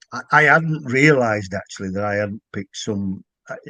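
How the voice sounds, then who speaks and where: A man speaks in a Yorkshire accent. His intonation is lively. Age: 60s. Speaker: author. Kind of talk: casual chat. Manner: halting.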